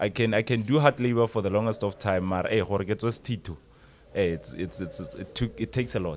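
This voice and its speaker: With hardly any pauses, a man speaks in a South African accent over light background noise. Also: fairly low pitch for a man, ordinary pitch variation, moderate pace. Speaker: radio presenter and life coach. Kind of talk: casual podcast chat. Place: studio. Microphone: studio mic.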